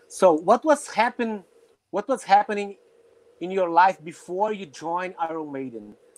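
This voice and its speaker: Speaking with long, frequent pauses, a man with a Portuguese accent uses a high pitch and lively intonation, the sound dry and close with no echo. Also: moderate pace, big swings in loudness. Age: 40s. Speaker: drummer and web show host. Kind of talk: interview; casual chat. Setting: video call.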